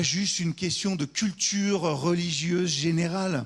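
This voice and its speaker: A man speaks fairly slowly with a high pitch and ordinary pitch variation. The background is quiet. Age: 40s. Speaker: pastor. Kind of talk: sermon.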